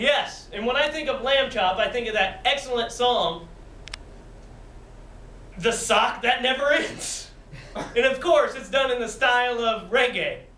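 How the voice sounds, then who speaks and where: Amid audible room echo, a man with an extremely high pitch and ordinary pitch variation uses a raised, projected voice at a fairly slow pace, with long, frequent pauses. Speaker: improv performer. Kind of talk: improvised comedy infomercial pitch. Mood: playful, amused. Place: hall. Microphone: camera far.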